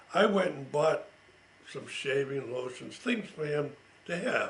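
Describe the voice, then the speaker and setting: The speaker talks at a fairly slow pace with lively intonation. Noticeable background noise is present. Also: man. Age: 80s+. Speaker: World War II veteran. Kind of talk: family oral history recollection. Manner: casual, conversational.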